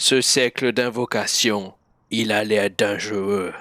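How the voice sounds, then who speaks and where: Putting on a character voice, a man talks fairly slowly at a fairly low pitch. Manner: menacing, warning.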